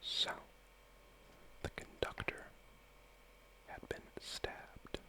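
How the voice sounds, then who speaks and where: Whispering at a very slow pace in a relaxed tone, the speaker is heard over noticeable background noise. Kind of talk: ASMR puzzle-game reading and solving, soft-spoken talk to camera. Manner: soft-spoken, whispering, relaxed.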